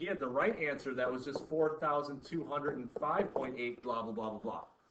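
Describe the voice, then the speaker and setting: A man's fairly high-pitched voice amid audible room echo and noticeable background noise. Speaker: chemistry teacher. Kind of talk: classroom lecture. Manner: fast.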